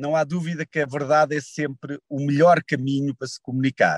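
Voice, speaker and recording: In a European Portuguese accent, a man speaks fairly slowly at a fairly high pitch with a dry, close sound and no echo. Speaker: energy company CEO. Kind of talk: interview. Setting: in a car.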